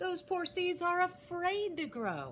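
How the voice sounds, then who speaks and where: The squeaky, put-on character voice moves at a fairly slow pace over clear background noise. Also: woman. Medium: read story.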